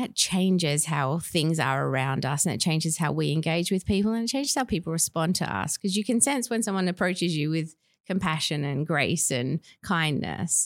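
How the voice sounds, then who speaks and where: Over a silent background in a very clean recording, a woman with a fairly low pitch speaks at a moderate pace, her intonation lively and her loudness very even. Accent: Australian. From Western Australia, Perth. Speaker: school chaplain. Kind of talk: interview.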